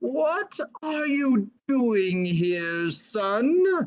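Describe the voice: This is a put-on character voice, wheezy and fairly high. Its pitch swings very widely.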